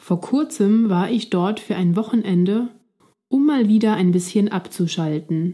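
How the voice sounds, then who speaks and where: Dark and mellow, a woman's somewhat breathy voice moves at a very slow pace with ordinary pitch variation. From Switzerland. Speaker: language-learning podcast host. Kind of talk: scripted narration for German learners. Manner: clear, slow-paced for learners.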